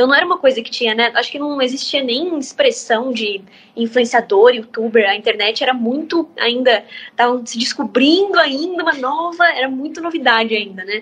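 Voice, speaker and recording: A woman speaks with a high pitch and lively intonation. Background noise is noticeable. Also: moderate pace. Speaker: singer-songwriter. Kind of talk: interview answer. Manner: casual, chatty.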